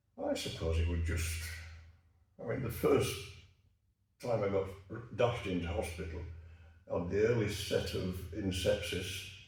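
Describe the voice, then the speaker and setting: A somewhat breathy man talks at a moderate pace with ordinary pitch variation and long, frequent pauses. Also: fairly low pitch for a man. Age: 80s+. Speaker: retired army officer, cancer survivor. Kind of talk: interview answer.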